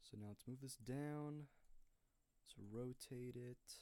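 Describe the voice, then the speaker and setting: Quiet and dark, mellow in tone, a man's voice sits at a medium pitch with fairly even intonation. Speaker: video editor streaming their editing. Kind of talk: tutorial.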